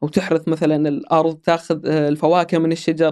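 Over a silent background in a very clean recording, a man talks at a very fast pace with a slightly mellow tone.

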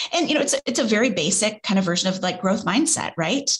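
The woman's voice moves through very wide pitch swings. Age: 40s. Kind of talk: casual chat.

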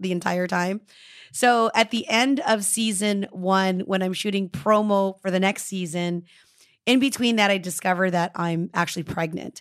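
An ordinary speaking voice comes through at a moderate pace with ordinary pitch variation. The recording is very clean, with a silent background. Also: woman. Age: 40s. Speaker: matchmaker and TV personality. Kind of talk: interview.

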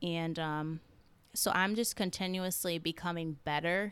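A woman with an American accent speaks in an unremarkable speaking voice, pitched fairly low with fairly even intonation. The recording is very clean, with a silent background. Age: 20s. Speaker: podcast host and holistic health coach. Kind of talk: personal storytelling monologue.

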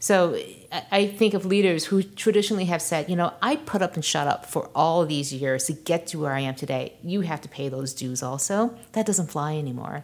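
At a moderate pace, a woman with an ordinary speaking voice uses lively intonation at a fairly low pitch. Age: 40s. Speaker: tech founder and CEO, author. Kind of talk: interview.

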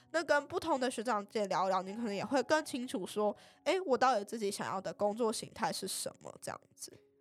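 A woman with a normal speaking voice talks fairly quickly with hardly any pauses. Her pitch is fairly high and her intonation lively. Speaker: pharmacy student and marketing intern. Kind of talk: podcast interview.

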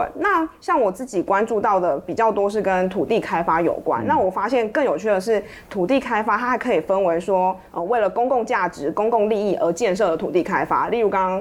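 A woman's medium-pitched voice at a fairly quick pace with hardly any pauses, over noticeable background noise. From Taiwan, Pingtung. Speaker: journalist. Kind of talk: interview conversation.

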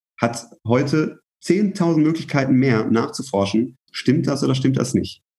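A man's somewhat breathy voice, dark and mellow in tone, at medium pitch with ordinary pitch variation, very even loudness and a fairly slow pace. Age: 20s. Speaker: brand manager. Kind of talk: casual interview.

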